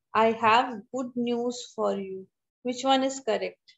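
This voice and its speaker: Against a quiet background, the speaker goes at a very slow pace. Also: woman. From India. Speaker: college English teacher. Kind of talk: online lecture. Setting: video call. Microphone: video call.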